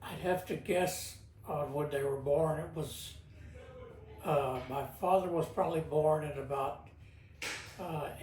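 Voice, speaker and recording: This man has a fairly high pitch and fairly even intonation, speaking at a fairly slow pace with long, frequent pauses. Audible room echo and noticeable background noise fill the recording. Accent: American. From Texas, Houston. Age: 80s+. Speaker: interviewee, great-grandfather. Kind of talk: oral history interview. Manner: halting.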